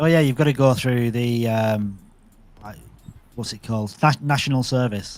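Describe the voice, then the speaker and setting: A man with a strong northern English accent talks at a moderate pace and medium pitch, with ordinary pitch variation. His loudness swings widely, and he leaves long, frequent pauses. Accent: strong local northern English. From northern England, Bolton. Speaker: crypto community space host. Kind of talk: casual chat.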